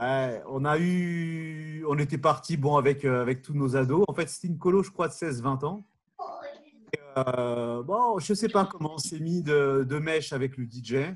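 Speaking at a fairly slow pace, this man has a plain, everyday voice, fairly high in pitch with ordinary pitch variation. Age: 40s. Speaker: former summer camp counselor. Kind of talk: casual chat.

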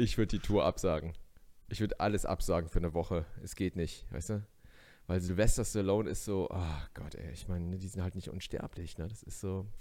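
A man's very deep, low pitch and animated tone at a fairly quick pace, with big swings in loudness, on a very clean recording over a silent background. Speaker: stand-up comedian. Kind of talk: casual chat.

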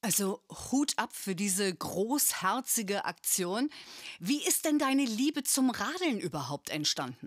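Her fairly high voice makes very wide pitch swings as the woman speaks at a fairly slow pace, captured in a very clean recording with a silent background and a dry, close sound with no echo. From northern Germany (Bremen). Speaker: podcast host. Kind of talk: interview.

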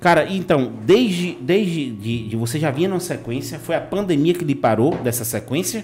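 A man's fairly high voice with vocal fry, very wide pitch swings and hardly any pauses. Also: moderate pace. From Bahia, Brazil (Vitória da Conquista). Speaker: podcast host. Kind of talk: casual chat. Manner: animated.

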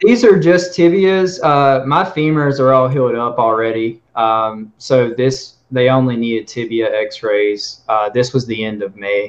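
A man with a normal speaking voice, medium pitch and lively intonation, at a fairly slow pace with hardly any pauses. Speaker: limb lengthening patient. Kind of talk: casual panel discussion. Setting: video call.

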